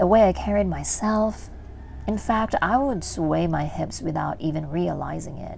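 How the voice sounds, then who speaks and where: With audible room echo around her, a woman speaks at a very slow pace. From Philippines. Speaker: vlogger. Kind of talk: personal vlog narration. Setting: gym.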